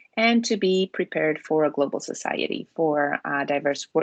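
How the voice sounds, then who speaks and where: A woman's very deep, low voice with a Spanish accent at a moderate pace, in a dry, close sound with no echo. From Spain. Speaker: education program consultant. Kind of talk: online presentation to parents.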